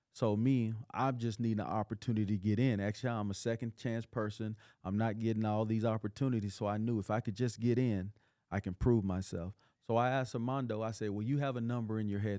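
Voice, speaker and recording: A man with a West Texas accent at a very fast pace, dark and mellow in tone, fairly low in pitch with fairly even intonation, on a very clean recording with a silent background and a dry, close sound with no echo. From West Texas, Odessa. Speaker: motivational speaker and entrepreneur. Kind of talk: podcast interview.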